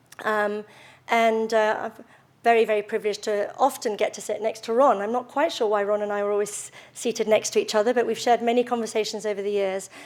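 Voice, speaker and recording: In a British accent, a woman speaks at a fairly high pitch with monotone, flat intonation on a very clean recording with a silent background. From London, England. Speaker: retail executive. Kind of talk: speech. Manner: hesitant, many fillers.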